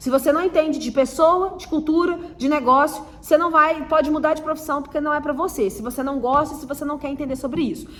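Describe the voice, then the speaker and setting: There is audible room echo and noticeable background noise as a woman with a high pitch speaks with fairly even intonation. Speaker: marketing teacher. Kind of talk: online lecture. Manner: hesitant fillers.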